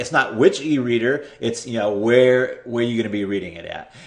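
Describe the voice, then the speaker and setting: A man at a fairly quick pace. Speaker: internet marketing tutor. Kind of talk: screen-share tutorial. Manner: fast; hesitant, repeats words.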